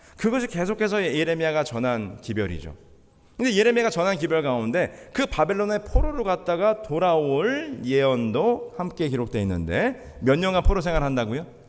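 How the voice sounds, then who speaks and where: High pitch from a man, with very wide pitch swings. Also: moderate pace. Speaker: pastor. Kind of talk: sermon. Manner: halting.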